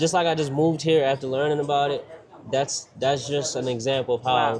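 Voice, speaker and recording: Fairly high-pitched man with an American accent, fairly even intonation and a fairly quick pace, over noticeable background noise. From Baltimore, Maryland, US. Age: 30s. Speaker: entrepreneur. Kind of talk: casual interview. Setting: restaurant.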